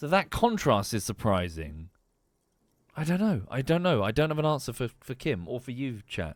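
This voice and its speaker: Very wide pitch swings at a moderate pace with an English accent, in a very clean recording against a silent background. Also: man, medium pitch for a man. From England. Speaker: streamer. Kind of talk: live gameplay commentary. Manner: halting.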